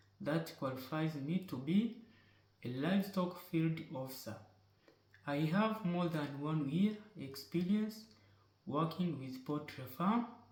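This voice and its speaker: In a room with audible echo, a man with a fairly high pitch talks at a fairly slow pace, using lively intonation and long, frequent pauses. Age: 20s. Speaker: poultry farm worker. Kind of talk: job application video. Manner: formal.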